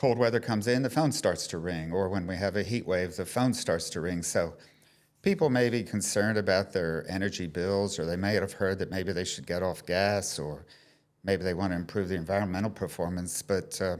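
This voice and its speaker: Speaking at a fairly quick pace, a man with a very deep, low pitch shows ordinary pitch variation in a very clean recording with a silent background. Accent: American. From US. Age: 60s. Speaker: energy advisor. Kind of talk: casual chat. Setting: showroom.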